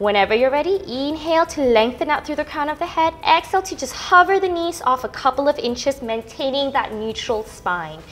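A woman with a calm tone talks fairly quickly at a high pitch, her pitch swinging very widely. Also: hardly any pauses. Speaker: Pilates instructor. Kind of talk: fitness class instruction. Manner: encouraging, rhythmic cueing; calm, instructive. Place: gym.

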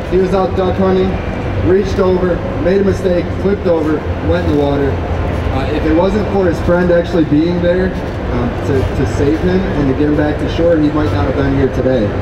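Loud background noise fills the clip. A man speaks over it at a fairly quick pace. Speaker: presenter. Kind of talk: seminar presentation. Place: hall. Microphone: handheld.

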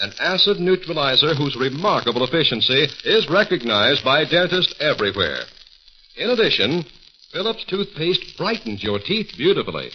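There is noticeable background noise as a man with a fairly high voice speaks at a moderate pace, his pitch making very wide swings. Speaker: radio announcer. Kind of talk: commercial announcements. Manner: formal and polished. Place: studio. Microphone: old recording.

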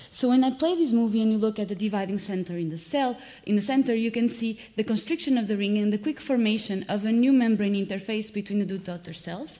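A woman's somewhat breathy, dark, mellow voice at a very fast pace, with hardly any pauses, ordinary pitch variation and a quiet background. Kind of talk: lecture. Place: hall.

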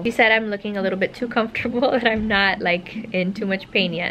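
There is noticeable background noise as a woman speaks. Her intonation is fairly even. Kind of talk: casual vlog chat. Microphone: phone near.

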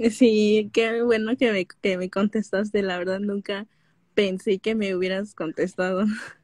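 A woman speaks at a fairly slow pace in a flat, monotone delivery. The sound is dry with no echo, and the background is quiet. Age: 20s. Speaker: caller, young graduate; caller. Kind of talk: personal conversation. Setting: live stream call. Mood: unsure, somewhat troubled, shy. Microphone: video call.

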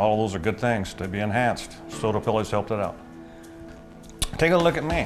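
A man with clear music in the background. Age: 70s. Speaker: rancher. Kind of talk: customer testimonial. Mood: confident, upbeat. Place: office.

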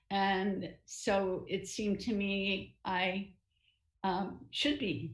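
A woman's voice with vocal fry, audible room echo and a quiet background. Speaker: novelist and retired writing professor; retired writing professor. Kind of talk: online interview. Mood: reflective, warm. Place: home room. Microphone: video call.

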